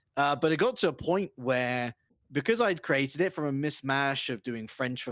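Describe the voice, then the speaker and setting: A man with a London accent speaks at a moderate pace. The recording is very clean and silent in the background, with a dry, close sound and no echo. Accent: British (London). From England, London. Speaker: esports caster and host. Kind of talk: casual interview.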